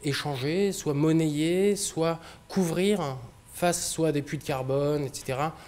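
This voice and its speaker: A man speaks at a very slow pace. His voice is fairly high with ordinary pitch variation. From France, Brittany (Brest), later Auvergne. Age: 30s. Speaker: company director, speaker on sail shipping. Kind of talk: public talk. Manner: hesitant, many fillers.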